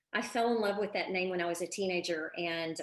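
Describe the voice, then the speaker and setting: A woman talks in a Texan accent with an animated tone. Her pace is moderate. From Texas, Houston. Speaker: parenting coach. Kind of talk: live online masterclass. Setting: live video stream.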